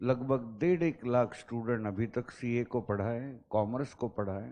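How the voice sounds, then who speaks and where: Speaking in a plain, everyday voice, a man keeps a medium pitch with ordinary pitch variation. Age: 50s. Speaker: teacher. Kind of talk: lecture. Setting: classroom. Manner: mix of Hindi and English.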